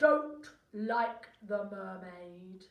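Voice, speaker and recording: A woman uses a put-on character voice at a fairly high pitch. There is a slight echo. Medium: read story. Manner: curt, grunting.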